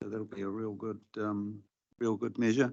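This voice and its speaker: The speaker uses monotone, flat intonation in a New Zealand accent against a quiet background. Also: man. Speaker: regional councillor. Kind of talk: committee meeting discussion. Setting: council committee meeting.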